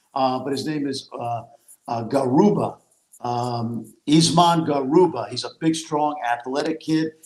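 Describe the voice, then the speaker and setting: A man with an unremarkable speaking voice talks at a fairly slow pace, his pitch fairly high and its variation ordinary. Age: 60s. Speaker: college basketball analyst and former coach. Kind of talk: casual chat.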